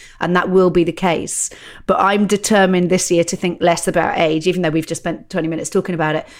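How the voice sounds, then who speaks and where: Talking at a very fast pace, a woman with an English accent uses a fairly low voice and fairly even intonation. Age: 50s. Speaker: stand-up comedian. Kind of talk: casual chat.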